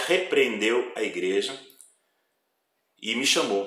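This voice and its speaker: A man at a very slow pace, with audible room echo. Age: 60s. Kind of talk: testimony.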